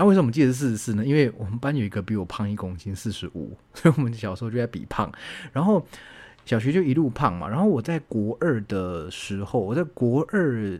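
In a relaxed tone, a man talks at a fairly quick pace with very wide pitch swings. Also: medium pitch for a man. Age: 30s. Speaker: university lecturer and podcast host. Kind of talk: casual solo monologue answering listener questions. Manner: relaxed, chatty with frequent filler particles.

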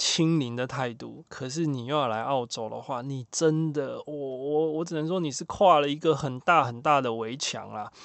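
Fairly high-pitched, a man speaks at a moderate pace. He barely pauses, and his pitch shifts in an ordinary way. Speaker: podcast host. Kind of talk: casual monologue. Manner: animated.

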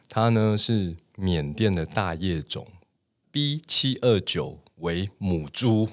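A man's voice with ordinary pitch variation, on a very clean recording against a silent background. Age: 40s. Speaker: tea podcast host. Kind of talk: casual chat.

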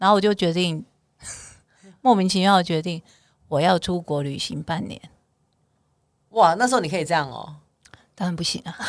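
A woman talks at a moderate pace in a fairly low pitch, with ordinary pitch variation and big swings in loudness. Her long pauses come often, and the recording is very clean with a silent background. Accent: Taiwanese. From southern Taiwan, Kaohsiung. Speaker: bestselling author and voice-over talent. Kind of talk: casual chat.

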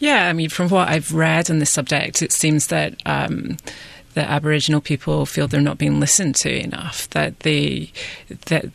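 Here a woman speaks with a Scottish accent. Her pace is moderate. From west of Scotland. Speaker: freelance journalist. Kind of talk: panel discussion.

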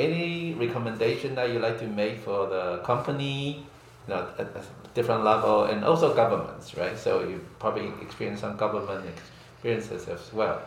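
With a Chinese accent, a man talks at a moderate pace with hardly any pauses. Noticeable background noise and audible room echo fill the recording. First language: Mandarin Chinese. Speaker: podcast host. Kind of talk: interview. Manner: halting English.

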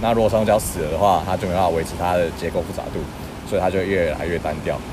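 A man talks at a very fast pace. Background noise is noticeable throughout. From Taiwan, Keelung. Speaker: marine biology researcher. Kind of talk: casual interview. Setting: outdoors at the seaside.

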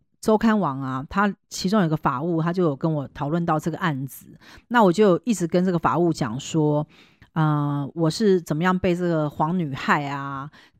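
A normal speaking voice at a moderate pace with ordinary pitch variation, dry, close sound with no echo, and a very clean recording with a silent background. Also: woman, fairly low pitch for a woman. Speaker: fortune teller and podcast host. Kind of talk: casual chat.

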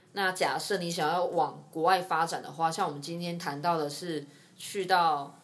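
Her voice is fairly low in pitch, monotone and flat. This woman keeps a moderate pace, with audible room echo. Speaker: nurse and podcast host. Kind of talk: casual interview chat.

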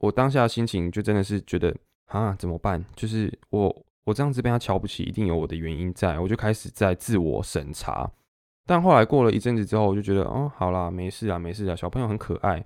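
At a fairly quick pace, a man with a fairly low pitch and ordinary pitch variation speaks on a very clean recording with a silent background. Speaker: podcast host and dance teacher. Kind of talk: casual solo monologue. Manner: halting, many fillers and self-corrections.

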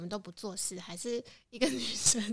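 Here a woman speaks at a medium pitch. Her tone is bright and sharp. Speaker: podcast co-host. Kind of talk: casual chat.

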